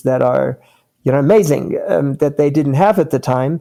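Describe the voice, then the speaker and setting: The man has a fairly high pitch. His tone is dark and mellow. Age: 60s. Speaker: company founder. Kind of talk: interview. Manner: hesitant with fillers.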